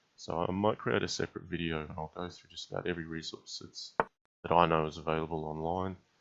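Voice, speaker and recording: Speaking very fast with an Australian accent, a man uses a very deep, low pitch and fairly even intonation while his loudness swings widely. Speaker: chess streamer and commentator. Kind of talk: live game commentary and chat Q&A. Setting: live stream. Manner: casual, many filler words.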